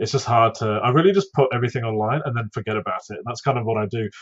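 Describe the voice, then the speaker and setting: A man is mumbling in a somewhat breathy voice. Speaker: YouTube content creator. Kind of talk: casual podcast interview. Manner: mumbles, lots of ums and ahs.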